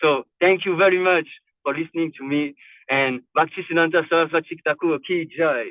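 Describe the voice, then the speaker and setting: At a moderate pace, the words come out with a non-native accent. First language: not English. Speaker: devotee. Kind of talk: narration of a religious story. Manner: halting, many fillers and repetitions.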